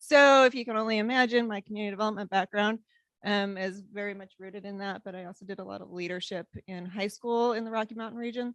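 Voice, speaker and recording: With an American accent, a woman speaks at a very fast pace at medium pitch with fairly even intonation, the sound dry and close with no echo. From Wyoming, US. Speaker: city staff in community development. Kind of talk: meeting introductions.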